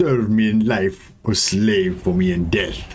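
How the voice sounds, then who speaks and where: The speaker uses a put-on character voice and talks at a fairly slow pace. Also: man, fairly low pitch for a man. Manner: menacing.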